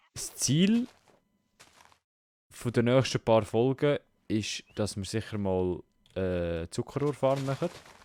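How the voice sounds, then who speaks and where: A man with a Swiss accent, a dark, mellow tone and lively intonation, at a very slow pace with long, frequent pauses, in a dry, close sound with no echo. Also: medium pitch for a man. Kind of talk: casual gaming commentary.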